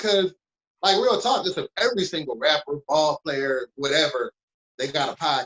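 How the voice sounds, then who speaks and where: A man speaks with a Detroit accent at a fairly high pitch. His pace is moderate and his intonation lively. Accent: Detroit east side, brash way of talking. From Detroit, east side. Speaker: podcast network founder. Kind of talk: casual podcast chat. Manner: brash.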